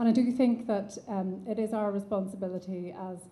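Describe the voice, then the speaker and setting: A woman's voice, somewhat breathy and dark and mellow in tone, carries audible room echo. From Ireland. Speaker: neuropsychiatrist. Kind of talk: conference lecture. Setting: conference stage with audience and online attendees.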